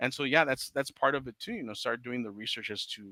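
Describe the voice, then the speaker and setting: Fairly quick and medium in pitch, a man with a Spanish accent speaks in a bright, sharp tone with ordinary pitch variation, recorded very cleanly against a silent background with a dry, close sound and no echo. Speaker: comic book writer. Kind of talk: casual chat.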